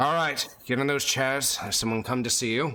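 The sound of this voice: A man puts on a gruff character voice at a medium pitch. His intonation stays fairly even, and his pace is moderate.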